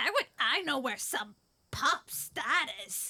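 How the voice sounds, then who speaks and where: A put-on character voice at a very slow pace. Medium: audio drama. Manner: gruff, blunt.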